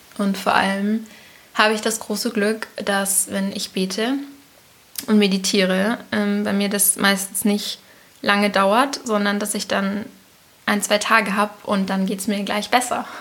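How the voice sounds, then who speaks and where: A woman's medium-pitched, monotone, flat voice at a fairly slow pace, with long, frequent pauses over noticeable background noise. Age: 20s. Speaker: host's daughter. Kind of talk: casual interview.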